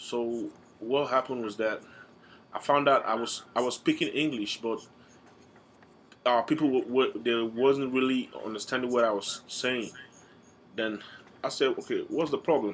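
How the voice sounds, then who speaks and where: A man speaks at a moderate pace with an American accent. He leaves long, frequent pauses. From Nigeria. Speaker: student. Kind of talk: class speech. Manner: halting, with repetitions and fillers.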